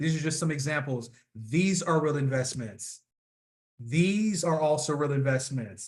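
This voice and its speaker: Somewhat breathy speech with ordinary pitch variation holds a very even loudness, and audible room echo surrounds it. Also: man, fairly high pitch for a man. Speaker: financial professional. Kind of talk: presentation. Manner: fast.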